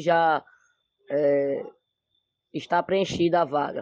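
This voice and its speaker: High-pitched male speech, its intonation fairly even. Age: 40s. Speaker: party member. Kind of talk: interview.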